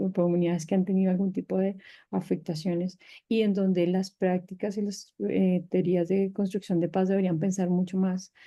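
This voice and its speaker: Her pitch sits in the medium range. This woman's intonation stays monotone and flat. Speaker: panelist on peacebuilding and arts. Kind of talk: panel discussion. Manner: fast.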